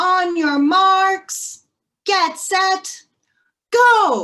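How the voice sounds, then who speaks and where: The voice is a put-on character voice, squeaky in sound. Its intonation is lively. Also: woman, extremely high pitch for a woman. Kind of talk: bedtime story. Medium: read story.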